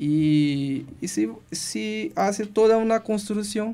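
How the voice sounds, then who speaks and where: With a dark, mellow tone and lively intonation, a man speaks at a very slow pace. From Brazil, Belém do Pará. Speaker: doctoral student researcher. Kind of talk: radio interview. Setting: radio studio. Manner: halting.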